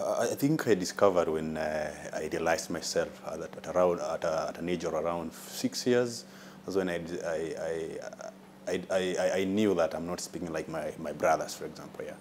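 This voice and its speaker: At a moderate pace, a man speaks while noticeable noise runs in the background. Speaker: person who stammers. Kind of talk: TV interview. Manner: stammering, halting.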